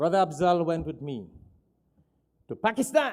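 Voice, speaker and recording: A man's voice shows ordinary pitch variation. The recording is very clean, and nothing is heard behind him. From Trinidad. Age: 60s. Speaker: Islamic preacher. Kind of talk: sermon.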